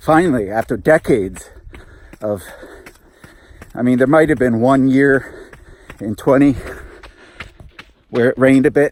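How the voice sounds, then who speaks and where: At a moderate pace and medium pitch, a man speaks with long, frequent pauses against noticeable background noise. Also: ordinary pitch variation. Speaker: flamenco guitarist and vlogger. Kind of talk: casual vlog monologue while running. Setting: outdoors on a muddy trail, running.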